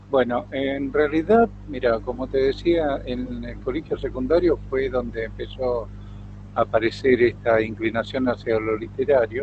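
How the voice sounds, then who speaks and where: The pace is fairly slow. Background noise is noticeable. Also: man. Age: 60s. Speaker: writer, retired lawyer. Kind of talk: interview. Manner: hesitant, many fillers.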